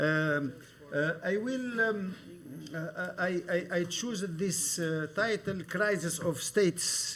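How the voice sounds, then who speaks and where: A man speaks at a high pitch with ordinary pitch variation. His pace is very slow, and there is noticeable background noise. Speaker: professor. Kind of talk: lecture. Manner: halting, many hesitations.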